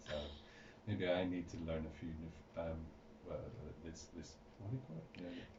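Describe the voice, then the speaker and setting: Speaking at a moderate pace with ordinary pitch variation, a man with a very deep, low voice leaves long, frequent pauses, amid noticeable background noise and audible room echo. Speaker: radio host. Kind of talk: radio interview. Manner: halting, many fillers.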